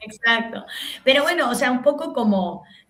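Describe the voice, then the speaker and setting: A woman talks at a moderate pace while noticeable background noise sits behind her. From Argentina. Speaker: comedian and TV host. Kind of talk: podcast interview. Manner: halting with many fillers.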